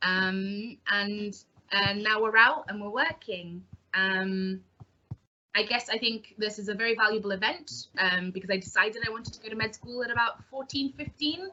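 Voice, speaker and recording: Her pitch is fairly high, with ordinary pitch variation. The woman keeps a moderate pace. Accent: English. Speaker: junior doctor. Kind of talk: panel talk. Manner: hesitant, many ums.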